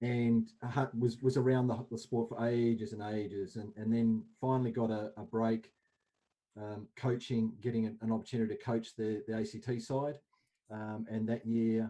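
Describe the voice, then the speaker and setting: A man with an Australian accent speaks at a moderate pace in a dark, mellow tone. His medium pitch stays monotone, with flat intonation. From Australia, Canberra. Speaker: indoor cricket coach. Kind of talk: casual chat.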